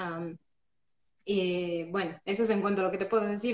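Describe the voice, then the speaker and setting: A woman has a normal speaking voice at a medium pitch. She keeps a moderate pace with fairly even intonation. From Ecuador, Loja. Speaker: church member, friend of host. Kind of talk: casual Bible study chat. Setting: Instagram live.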